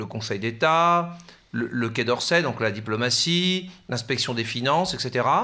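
A man speaks very slowly at a medium pitch. His tone is bright and sharp, with lively intonation. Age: 40s. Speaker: professor. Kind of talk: interview. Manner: halting.

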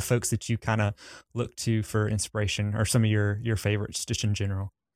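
On a very clean recording with a silent background, a man speaks at a medium pitch with a strong Southern US accent. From US South. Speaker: podcast host. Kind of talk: casual interview chat.

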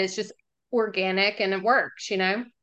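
A woman with a Southern US accent talks at a fairly quick pace in a bright, sharp tone. The background is quiet. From Jackson, Mississippi. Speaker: business development executive. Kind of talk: interview.

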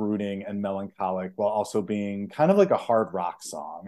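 Very cleanly recorded against a silent background, a man with an American accent speaks at a fairly low pitch and moderate pace in a dark, mellow tone. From Chicago, US Midwest. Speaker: podcast co-host. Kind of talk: casual chat.

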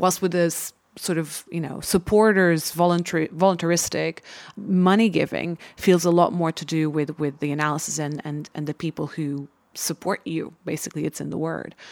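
Heard in a dry, close sound with no echo, a woman with a plain, everyday voice and a fairly low pitch speaks at a moderate pace with fairly even intonation. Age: 30s. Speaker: podcast host. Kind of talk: interview.

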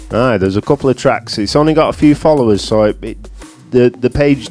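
With music in the background, a man in a northern English accent speaks at a moderate pace with lively intonation. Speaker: radio show co-host. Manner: casual, enthusiastic.

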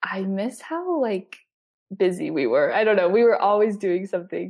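A woman with a western US accent speaks at a moderate pace in a medium pitch. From Utah, Salt Lake City area. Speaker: college student. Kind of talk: interview. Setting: studio.

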